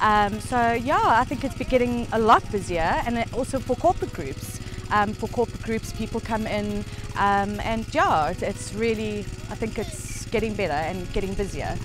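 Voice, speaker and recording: Music plays in the background as a woman speaks. Her pace is moderate, and the sound is dry with no echo. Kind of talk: interview answer. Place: open country.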